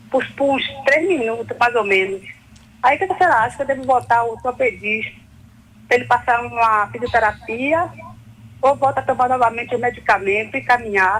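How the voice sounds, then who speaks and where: A high-pitched woman's voice with ordinary pitch variation, at a moderate pace with long, frequent pauses. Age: 40s. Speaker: caller. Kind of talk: phone call question.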